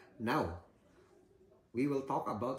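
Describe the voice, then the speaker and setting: Very slowly, a man speaks with a Filipino accent. His voice is somewhat breathy, with ordinary pitch variation. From Philippines. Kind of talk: casual informative talk to camera.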